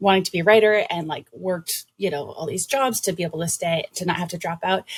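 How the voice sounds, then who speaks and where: Very fast and somewhat breathy, a woman with an American accent talks at a medium pitch with ordinary pitch variation, the sound dry and close with no echo. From Massachusetts, Brockton near Boston. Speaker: writer and podcast host. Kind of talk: casual interview chat.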